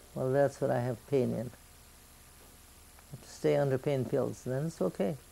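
Speaking fairly slowly with hardly any pauses, a woman's very deep, low voice shows ordinary pitch variation. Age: 80s+. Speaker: grandmother. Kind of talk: interview answer. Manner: conversational, plain-spoken. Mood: calm, matter-of-fact. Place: home room. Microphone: old recording.

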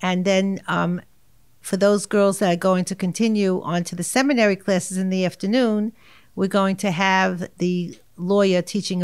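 At a moderate pace, a woman in a New York accent speaks with medium pitch and fairly even intonation against a quiet background. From New York, Far Rockaway. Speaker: art teacher. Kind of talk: interview. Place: meeting room. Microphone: studio mic.

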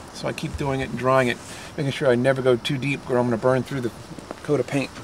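The speech comes at a very fast pace. The sound is dry with no echo, but there is noticeable background noise. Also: man. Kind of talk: tutorial. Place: street. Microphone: camera far.

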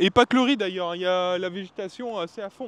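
Light background noise sits behind a man speaking with ordinary pitch variation. His voice sounds dry, with no echo. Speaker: travel vlogger. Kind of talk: on-location vlog talk to camera. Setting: outdoors in the rain by rice fields. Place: open country. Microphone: handheld.

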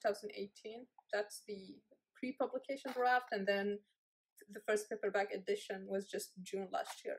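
Over a quiet background, a woman speaks with ordinary pitch variation. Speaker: book reviewer. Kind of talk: casual book review. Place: home room. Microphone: phone near.

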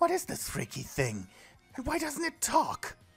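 At a moderate pace, a put-on character voice speaks at a high pitch while faint music plays in the background. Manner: indignant, frightened.

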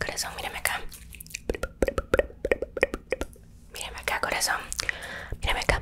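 A woman whispers, soft-spoken, at a fairly quick pace. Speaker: ASMR creator. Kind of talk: ASMR roleplay chat, soft casual talk to viewer. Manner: soft intimate ASMR whisper. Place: home room. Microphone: studio mic.

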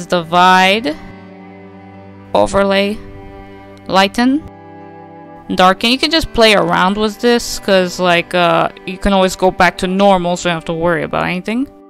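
A woman with ordinary pitch variation and long, frequent pauses, music in the background. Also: medium pitch for a woman, moderate pace. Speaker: digital artist. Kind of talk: casual screen-recording tutorial. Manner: audible effortful breathing.

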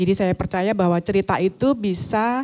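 Against a quiet background, a woman with a dark, mellow tone speaks at a fairly slow pace with ordinary pitch variation. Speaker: author. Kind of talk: talk show interview. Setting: stage with audience. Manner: hesitant, many fillers. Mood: warm, reflective. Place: hall. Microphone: handheld.

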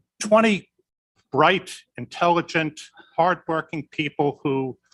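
Very slowly, a man speaks in a fairly high voice. The sound is dry and close, with no echo. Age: 60s. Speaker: county supervisor. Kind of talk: public meeting speech. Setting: county board meeting room. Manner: halting.

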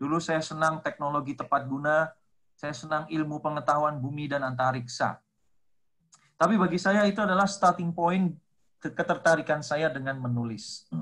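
Against a quiet background, a man talks at a moderate pace in a fairly high voice with ordinary pitch variation. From Indonesia. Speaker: lecturer and textbook author; guest, lecturer. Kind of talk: online seminar talk. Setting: video call. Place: home room. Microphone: video call.

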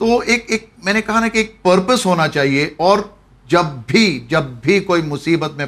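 A man speaks with lively intonation. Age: 50s. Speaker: former snooker champion; interview guest. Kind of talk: interview. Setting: studio. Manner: sounds harsh in tone. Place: studio. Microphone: lapel.

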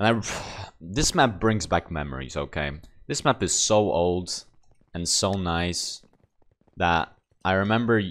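Speech at a very slow pace, broken by long and frequent pauses, on a very clean recording with a silent background. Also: man. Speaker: gaming streamer. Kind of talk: gameplay commentary. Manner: casual.

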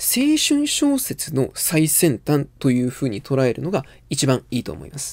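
With a quiet background, a man's speech moves at a moderate pace. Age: 20s. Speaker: literature commentator. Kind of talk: lecture. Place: home room.

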